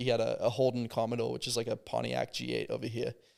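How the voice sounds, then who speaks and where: Talking very fast with an Australian accent, a man with a medium pitch shows vocal fry. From Australia (Adelaide), then southern California from age 11. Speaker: car show organizer. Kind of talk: casual chat.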